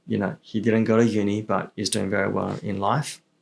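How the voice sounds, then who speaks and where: Fairly low male voice at a moderate pace, with an Australian accent. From Melbourne, Australia (moved from China at six or seven). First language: Chinese. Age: 30s. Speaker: real estate entrepreneur. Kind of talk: casual podcast interview. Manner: casual, many filler words and repetitions.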